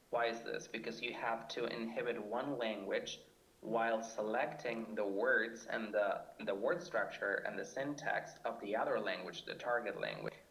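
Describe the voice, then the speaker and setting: A man talks with hardly any pauses. Noticeable background noise runs under him. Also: moderate pace. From Argentina. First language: Spanish. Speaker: PhD student in linguistics. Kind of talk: scripted podcast discussion.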